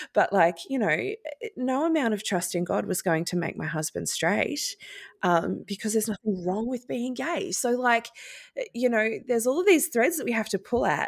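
Her pitch swinging very widely, a woman with a fairly high voice speaks at a moderate pace. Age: 40s. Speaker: podcast host. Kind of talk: interview.

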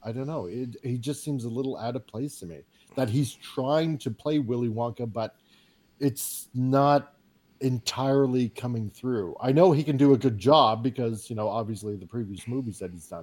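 A plain, everyday voice at a moderate pace, with ordinary pitch variation. Loudness swings widely from moment to moment. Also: man, medium pitch for a man. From Canada. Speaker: podcast guest. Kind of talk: casual chat.

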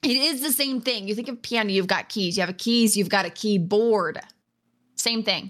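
A woman speaks at a moderate pace with a fairly high pitch and ordinary pitch variation, an ordinary speaking voice. The recording is very clean, with a silent background. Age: 20s. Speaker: gamer and streamer. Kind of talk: casual chat. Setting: live stream.

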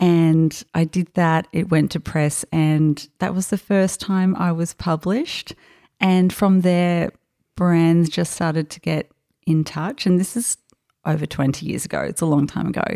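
A woman with an Australian accent, fairly low in pitch, at a fairly slow pace with fairly even intonation, in a very clean recording with a silent background and a dry, close sound with no echo. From Brisbane, Australia. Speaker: fashion illustrator. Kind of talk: casual interview. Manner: quiet, introverted.

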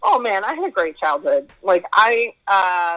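Medium-pitched and bright with a sharp tone, this woman speaks with a western Canadian accent and lively intonation. The sound is dry and close, with no echo. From Edmonton, Alberta, Canada. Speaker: actor and producer. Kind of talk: casual interview chat.

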